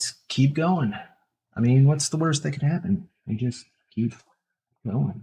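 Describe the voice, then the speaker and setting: A man's fairly high, somewhat breathy voice with a dark, mellow tone, moving at a fairly slow pace with long, frequent pauses. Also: ordinary pitch variation. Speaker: tattoo artist streamer. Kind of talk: casual live-stream chat while tattooing. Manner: soft-spoken.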